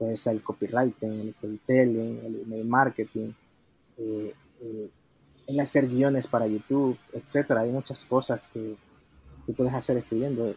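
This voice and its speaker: A man talks at medium pitch and a fairly slow pace. His intonation stays flat and monotone. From El Salvador. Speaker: solo entrepreneur. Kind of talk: interview.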